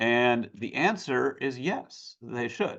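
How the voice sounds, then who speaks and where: A man talks at a very slow pace with an American accent against a quiet background. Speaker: legal expert presenter. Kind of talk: webinar presentation and Q&A. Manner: hesitant, many fillers.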